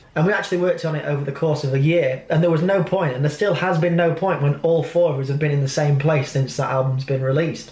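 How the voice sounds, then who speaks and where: A man's fairly high voice at a very fast pace, hardly any pauses and fairly even intonation, amid noticeable background noise. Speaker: musician and vlogger. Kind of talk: casual vlog talk. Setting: in a car.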